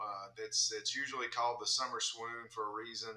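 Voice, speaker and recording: A man's voice over noticeable background noise. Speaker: financial advisor. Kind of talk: radio interview. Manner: subdued.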